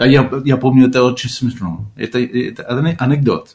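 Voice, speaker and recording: A man speaks with a Spanish accent. His pace is moderate and his pitch medium. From Argentina. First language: Spanish (speaking Russian). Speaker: composer and music teacher. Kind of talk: radio interview. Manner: halting.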